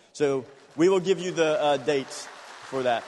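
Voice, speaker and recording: Over crowd noise in the background, a man speaks at a moderate pace and a fairly high pitch, with ordinary pitch variation. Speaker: pastor, incoming church leader. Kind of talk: thank-you speech at a celebration. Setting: church.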